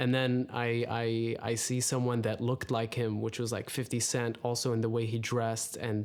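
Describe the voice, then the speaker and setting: With an Arabic accent, a man speaks in a flat monotone at very even loudness, hardly pausing at all. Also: medium pitch for a man, moderate pace. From UAE, Dubai. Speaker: rapper. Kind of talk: casual chat.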